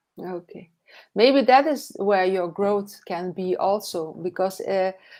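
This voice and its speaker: A woman's medium-pitched voice with a non-native accent, a very slow pace and ordinary pitch variation, on a very clean recording with a silent background. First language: not English. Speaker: online business coach, live show host. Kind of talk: live interview chat. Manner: halting, many fillers.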